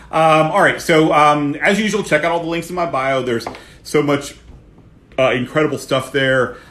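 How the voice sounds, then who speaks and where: Loud and bright with a sharp edge, a man with an American accent speaks at a fairly high pitch and a moderate pace, his pitch varying in an ordinary way. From US Midwest, Ohio. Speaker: real estate coach. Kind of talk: live stream Q&A.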